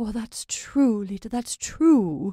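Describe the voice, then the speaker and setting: In a put-on character voice, a woman speaks at a fairly high pitch with lively intonation. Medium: read story. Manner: vague, feeble.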